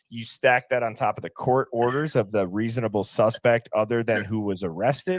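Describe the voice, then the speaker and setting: In an American accent, a man talks at a moderate pace in an ordinary speaking voice with medium pitch. The recording is very clean, with a silent background and a dry, close sound with no echo. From Wisconsin, Milwaukee. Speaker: true crime livestream host. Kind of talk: casual livestream discussion.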